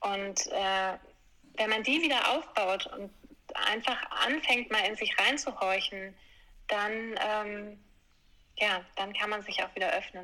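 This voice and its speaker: A woman with a bright, sharp tone speaks at a very slow pace with ordinary pitch variation. She leaves long, frequent pauses. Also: fairly high pitch for a woman. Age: 40s. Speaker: yoga teacher. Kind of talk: interview storytelling.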